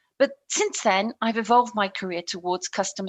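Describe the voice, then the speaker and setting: A woman with a British accent, medium in pitch, at a moderate pace with ordinary pitch variation. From England. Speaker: customer success consultant. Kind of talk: podcast interview.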